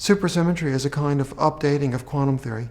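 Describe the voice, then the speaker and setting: Man's medium-pitched voice, dark and mellow, somewhat breathy, with fairly even intonation and a very fast pace. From United States. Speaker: theoretical physicist. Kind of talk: interview answer.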